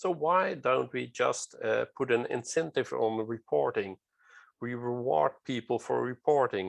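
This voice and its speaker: A man at a fairly slow pace, dry and close with no echo, over a quiet background. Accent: non-native. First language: non-native English speaker. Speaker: safety culture speaker. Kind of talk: lecture. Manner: halting, many fillers.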